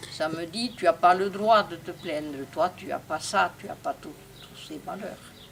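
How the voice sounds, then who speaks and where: A woman speaks at a fairly slow pace with a fairly low pitch and ordinary pitch variation. Her loudness swings widely, and there is noticeable background noise. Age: 80s+. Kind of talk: interview answer.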